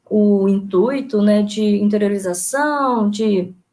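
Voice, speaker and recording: A woman's lively intonation unfolds at a very slow pace. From Brazil, Espírito Santo (Alegre, Caparaó region). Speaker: history teacher and researcher. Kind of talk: online lecture presentation. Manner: hesitant, many fillers.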